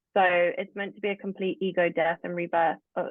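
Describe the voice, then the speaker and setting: A woman speaks in a British accent at medium pitch. Her intonation is monotone and flat, and her pace is moderate. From England. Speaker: spiritual practitioner, tarot reader. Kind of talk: podcast interview.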